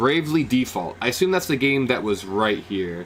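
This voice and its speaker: Animated in tone, a man speaks at a fairly quick pace with very wide pitch swings. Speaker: gaming streamer. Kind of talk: live reaction stream. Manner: loud, yelling at times.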